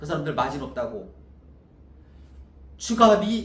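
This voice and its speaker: A man's high-pitched, animated voice makes very wide pitch swings, with audible echo from the room. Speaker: wedding dress designer and business owner. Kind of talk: sales pitch. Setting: self-recorded video.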